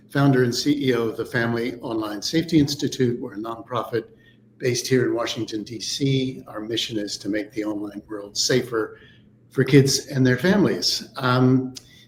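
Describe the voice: A man speaks at a moderate pace with a medium pitch. Audible room echo surrounds his voice. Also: ordinary pitch variation.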